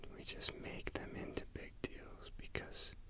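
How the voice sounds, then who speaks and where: A man whispering in a soothing tone at a fairly slow pace. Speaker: ASMR creator. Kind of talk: ASMR sleep aid relaxation talk. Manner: whispered, soothing, slow.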